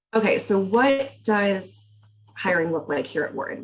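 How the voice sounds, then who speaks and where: This woman's voice sits at a medium pitch, with lively intonation. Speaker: university career advisor. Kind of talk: webinar presentation. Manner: fast.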